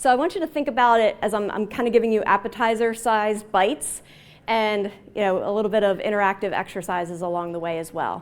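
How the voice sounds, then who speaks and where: A woman with an American accent talks at a fairly quick pace. Her pitch varies in an ordinary way. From Baltimore, Maryland. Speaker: agile consultant and trainer. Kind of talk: conference talk. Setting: stage with audience. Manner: casual.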